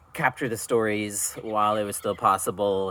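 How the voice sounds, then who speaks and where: In a very clean recording with a silent background, a man with a bright, sharp tone speaks at a moderate pace with fairly even intonation. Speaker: podcast interviewer. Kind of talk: spoken introduction.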